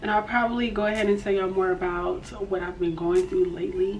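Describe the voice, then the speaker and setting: A woman's fairly quick speech with ordinary pitch variation, audible room echo and noticeable background noise. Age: 20s. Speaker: beauty and lifestyle vlogger. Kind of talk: casual chat. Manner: hesitant, many fillers.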